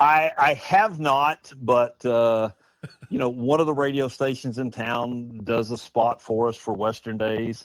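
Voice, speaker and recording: With an American accent, this man talks at a medium pitch, his pitch rising and falling in an ordinary way. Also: fairly slow pace. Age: 60s. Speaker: festival committee chair. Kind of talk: interview. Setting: studio in an Airstream trailer.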